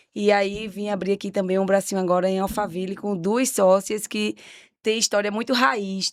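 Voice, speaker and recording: With a Pernambuco accent, a woman speaks at a fairly slow pace in a medium pitch and monotone, flat intonation on a very clean recording with a silent background. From Pernambuco, Brazil. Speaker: confectionery business owner. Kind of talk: casual chat.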